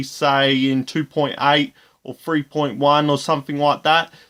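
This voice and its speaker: A man talks at a fairly high pitch and a moderate pace, with an Australian accent and flat, monotone intonation. The recording is very clean, with a silent background. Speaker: gaming YouTuber. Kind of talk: tutorial.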